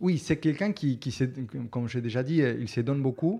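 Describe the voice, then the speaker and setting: A man with a Spanish accent talks at a moderate pace in a medium pitch, with ordinary pitch variation. His tone is dark and mellow against a quiet background. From Argentina. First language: Spanish (speaking French). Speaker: actor. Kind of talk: interview. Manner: halting.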